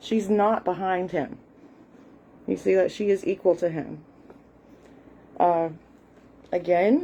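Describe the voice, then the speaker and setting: A woman with an American accent speaks at a very slow pace with long, frequent pauses, her medium-pitched voice dark and mellow in tone with ordinary pitch variation. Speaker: content creator. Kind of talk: casual talk. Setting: live stream. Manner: hesitant, with fillers.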